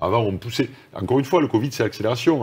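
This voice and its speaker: Somewhat breathy, the voice rushes at a very fast pace with lively intonation. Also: man. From France, Toulouse; France. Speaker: corporate executive; interviewee. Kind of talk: interview. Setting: video call. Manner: halting, many repetitions. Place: studio.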